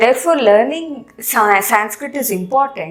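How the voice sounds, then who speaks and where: A woman's lively intonation in an Indian accent, with audible room echo and music in the background. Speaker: Sanskrit teacher. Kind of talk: educational lecture.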